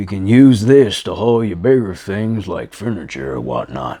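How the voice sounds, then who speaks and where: In a put-on character voice, a man speaks at a moderate pace with a fairly low pitch. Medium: read story. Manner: glum, flat.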